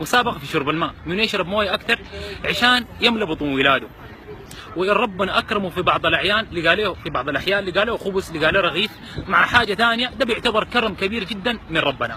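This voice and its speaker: A high-pitched man's voice, fairly quick and with lively intonation, over crowd noise in the background. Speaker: charity volunteer. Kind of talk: storytelling.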